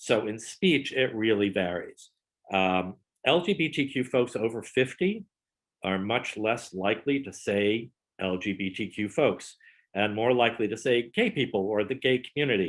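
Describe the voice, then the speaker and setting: A man speaks in an ordinary speaking voice at a medium pitch. His pace is moderate and his pitch variation ordinary. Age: 60s. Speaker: wedding photographer. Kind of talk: presentation.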